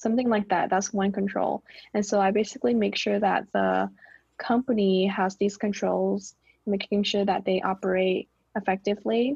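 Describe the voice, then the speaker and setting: A woman's voice sounds dry and close, with no echo. It is somewhat breathy, with ordinary pitch variation and very even loudness. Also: medium pitch for a woman, moderate pace. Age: 20s. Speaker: podcast co-host. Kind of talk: casual chat.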